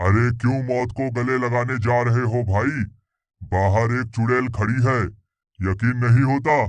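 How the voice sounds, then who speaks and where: Using a cartoonish character voice, a man talks at a moderate pace. His pitch is medium, and the background is quiet. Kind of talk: cartoon character dialogue.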